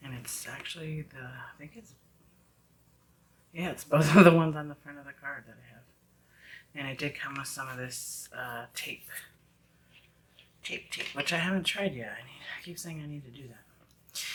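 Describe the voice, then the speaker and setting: Speaking at a moderate pace with long, frequent pauses, a woman with a very deep, low pitch swings widely in loudness over noticeable background noise. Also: ordinary pitch variation. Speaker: beauty vlogger, wig reviewer. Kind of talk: product review. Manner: casual, chatty.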